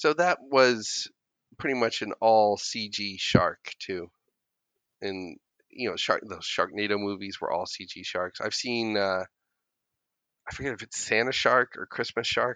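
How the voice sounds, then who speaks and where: A man talks at a medium pitch with a bright, sharp tone, ordinary pitch variation and a fairly slow pace. Long, frequent pauses break up his speech, and the sound is dry and close with no echo. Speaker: podcast co-host. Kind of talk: casual chat.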